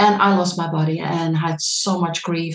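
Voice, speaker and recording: In a Dutch accent, the speaker goes at a fairly slow pace with fairly even intonation. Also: woman. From Netherlands. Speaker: medical thermographer and trainer. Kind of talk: lecture. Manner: halting.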